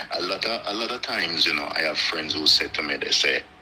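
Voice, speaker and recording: A man keeps a moderate pace while noticeable background noise continues. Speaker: live stream guest. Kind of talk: casual chat.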